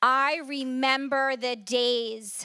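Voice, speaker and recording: Bright and sharp in tone, a woman's raised, projected voice comes through with a dry, close sound and no echo. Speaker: recovery speaker. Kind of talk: testimony.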